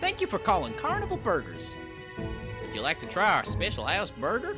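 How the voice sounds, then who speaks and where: Loud music plays in the background. Over it comes a put-on character voice at a fairly quick pace. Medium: read story.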